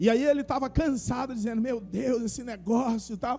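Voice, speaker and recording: Pitched high, a man speaks at a fairly quick pace with ordinary pitch variation. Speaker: pastor. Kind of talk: sermon. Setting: church service with congregation. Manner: conversational, addresses congregation by name.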